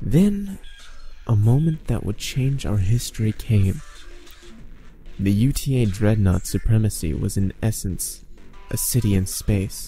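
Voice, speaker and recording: A fairly slow pace with long, frequent pauses and music in the background. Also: man. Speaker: voice actor. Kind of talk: creepypasta story narration.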